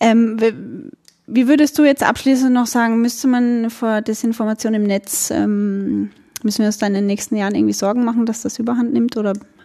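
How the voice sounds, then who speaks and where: A dark, mellow tone with an Austrian accent, fairly even intonation, and a moderate pace. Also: woman. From Austria, Burgenland. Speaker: podcast host. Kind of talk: casual interview.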